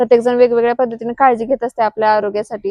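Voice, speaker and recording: A woman speaks at a high pitch. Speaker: village interviewer. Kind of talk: intro to camera.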